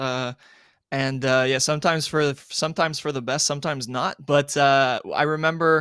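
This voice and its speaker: With a bright, sharp tone and a fairly high pitch, a man speaks at a moderate pace with fairly even intonation, in a very clean recording that is dry and close with no echo and a silent background. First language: French. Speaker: sports journalist. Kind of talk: casual chat. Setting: live-streamed podcast.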